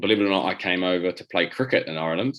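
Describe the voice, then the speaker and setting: Here a man speaks with a New Zealand accent. His pitch is very deep and low, with ordinary variation. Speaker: rugby player and coach. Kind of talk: interview. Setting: video call. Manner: halting, many repetitions.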